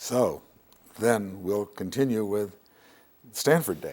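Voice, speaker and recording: Vocal fry is present in the voice. Its intonation is lively. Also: man. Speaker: interviewer, computer science professor. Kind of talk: interviewer questions and prompts.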